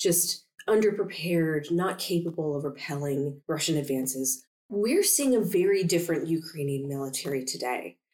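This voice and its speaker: A woman talks in an ordinary speaking voice at a moderate pace. Her pitch is fairly low, with ordinary pitch variation. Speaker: podcast host. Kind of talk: interview. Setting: conference venue.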